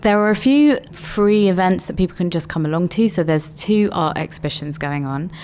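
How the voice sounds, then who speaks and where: A woman talks at a fairly quick pace with hardly any pauses, her fairly low voice full of lively intonation. Noticeable background noise is present. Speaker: festival co-director. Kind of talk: radio interview.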